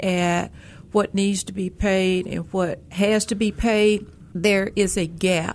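A woman with a Memphis accent and fairly even intonation. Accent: Southern US, Memphis. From Memphis, Tennessee. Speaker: banker. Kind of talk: radio talk show interview.

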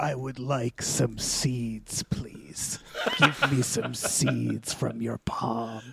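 A put-on character voice with a low pitch moves at a very slow pace. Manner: polite, requesting.

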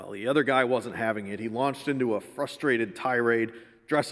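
Someone does plain reading aloud.

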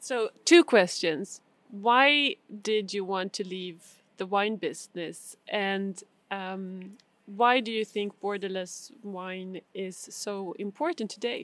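Speaking very slowly with a Swedish accent, a woman uses a medium pitch with ordinary pitch variation and big swings in loudness. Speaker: podcast host. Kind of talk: interview; scripted narration. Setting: outdoors on stairs in a small Italian town.

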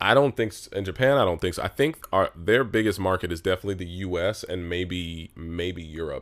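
A man with an American accent and a very deep, low pitch speaks at a moderate pace with hardly any pauses. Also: ordinary pitch variation, very clean recording, silent background. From Los Angeles, San Fernando Valley. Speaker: YouTuber and comedian. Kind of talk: casual chat.

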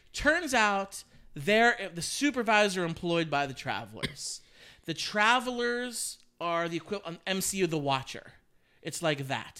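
A raised, projected voice with a bright, sharp tone, very wide pitch swings and a fairly slow pace. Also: man, high pitch for a man. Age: 30s. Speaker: podcast co-host. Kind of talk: casual chat.

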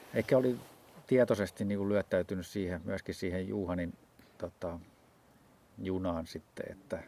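Dark and mellow in tone, the voice moves at a moderate pace with fairly even intonation. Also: man. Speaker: ultrarunner. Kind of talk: casual chat. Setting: outdoors.

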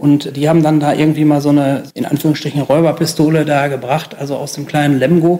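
With hardly any pauses, a man rattles along at a very fast pace in a fairly high pitch, his tone dark and mellow and his intonation monotone and flat. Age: 50s. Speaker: sports journalist. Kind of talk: interview recollection.

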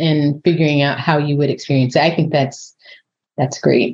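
A woman with an American accent. Her voice is somewhat breathy. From Southern California, San Diego. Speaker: assistant dean for inclusion at vet school. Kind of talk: casual panel discussion.

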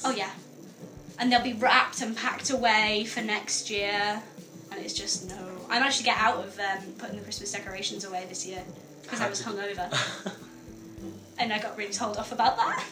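A woman talks at a fairly quick pace over background music, with long, frequent pauses. Her loudness swings widely. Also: medium pitch for a woman. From north-east England. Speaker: student radio co-host. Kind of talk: casual conversational. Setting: radio studio. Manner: chatty, lively.

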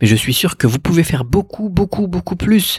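A man speaks at a moderate pace with very wide pitch swings. His voice has a dry, close sound with no echo. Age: 30s. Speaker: e-commerce podcaster. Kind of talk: solo podcast monologue. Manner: casual, hesitant with many fillers.

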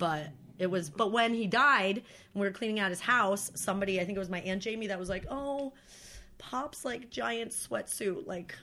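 This woman has a bright, sharp tone and a medium pitch. Her intonation is lively, and she talks at a moderate pace. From northern New York State. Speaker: podcast guest, producer friend. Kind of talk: casual chat. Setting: home recording, friends chatting.

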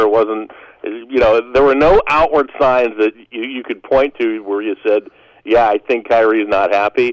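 A man with an American accent speaks in a normal speaking voice at medium pitch with ordinary pitch variation, the sound dry and close with no echo. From Western Pennsylvania. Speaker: play-by-play announcer. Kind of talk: radio interview.

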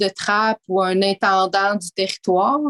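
A woman of medium pitch is recorded with a dry, close sound and no echo. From Quebec City, Quebec. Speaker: mining community relations director. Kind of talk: interview. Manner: halting.

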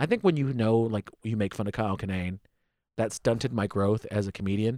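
In a very clean recording with a silent background and a dry, close sound with no echo, a man with a plain, everyday voice and an American accent talks at a fairly quick pace with a fairly low pitch. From United States. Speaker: stand-up comedian. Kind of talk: casual chat.

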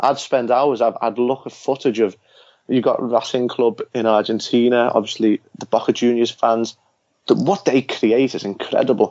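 A man speaks with a Liverpool accent at medium pitch. His intonation stays fairly even. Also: moderate pace. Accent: Liverpool Scouse. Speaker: author. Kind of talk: casual interview chat.

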